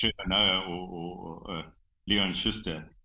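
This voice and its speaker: In a very deep, low pitch, a man speaks with monotone, flat intonation. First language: Xhosa. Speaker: rhino conservationist, game reserve owner. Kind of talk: casual interview. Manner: halting, many fillers.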